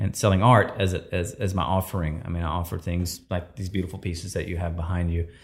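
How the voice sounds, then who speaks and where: Speaking with a Texan accent, a man has a very deep, low pitch on a very clean recording with a silent background. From East Texas. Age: 50s. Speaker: photographer and filmmaker. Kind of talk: interview, storytelling.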